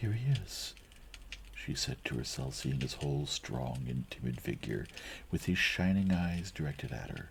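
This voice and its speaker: A soft-spoken man's very deep, low voice with vocal fry, lively intonation and a fairly slow pace. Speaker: ASMR reader / streamer. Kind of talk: audiobook-style reading of a classic novel (ASMR reading). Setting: recorded from a live stream.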